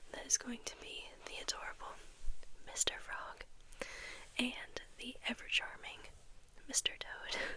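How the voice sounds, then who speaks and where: The voice is a whisper. Noticeable background noise can be heard behind it. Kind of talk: casual talk to camera. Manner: whispered.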